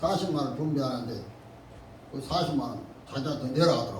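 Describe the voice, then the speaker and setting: A man at a moderate pace, fairly high in pitch with ordinary pitch variation, over noticeable background noise. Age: 80s+. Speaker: pastor. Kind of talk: church sermon.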